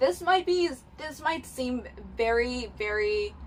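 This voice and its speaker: Noticeable background noise sits behind a woman with a fairly high pitch speaking in a Cantonese accent. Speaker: book youtuber. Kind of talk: casual vlog talk to camera. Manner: halting, many fillers.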